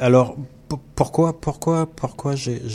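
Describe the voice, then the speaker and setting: A man's somewhat breathy, dark and mellow voice at a fairly slow pace, with ordinary pitch variation. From Caribbean (French Antilles). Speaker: visual artist. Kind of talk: interview. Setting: studio.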